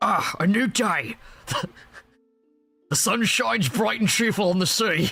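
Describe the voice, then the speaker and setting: Over faint background music, a man does a put-on character voice pitched high for a man. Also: fairly slow pace. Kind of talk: parody. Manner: cheerful, exaggerated.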